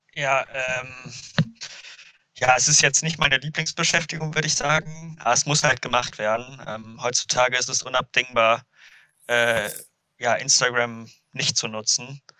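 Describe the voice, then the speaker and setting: A man talks at a fairly slow pace and a medium pitch. His intonation is fairly even. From Ruhr area, Germany (Duisburg). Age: 20s. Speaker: windsurfer and student. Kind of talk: podcast interview. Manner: hesitant, many fillers.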